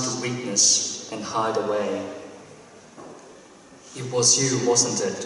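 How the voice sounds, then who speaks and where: Strong room echo, fairly even intonation and light background noise. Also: man. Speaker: poet. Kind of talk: poetry reading. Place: hall.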